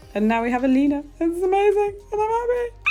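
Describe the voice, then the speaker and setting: Putting on a squeaky character voice, a woman talks at a very fast pace at an extremely high pitch with very wide pitch swings, over light background noise. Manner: excited, buzzing.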